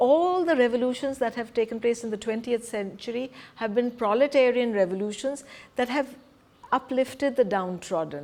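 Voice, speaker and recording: Someone with an Indian accent speaks with lively intonation. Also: woman, high pitch for a woman, moderate pace. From Punjab, India. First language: Hindi. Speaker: presenter on spiritual community. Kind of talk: lecture.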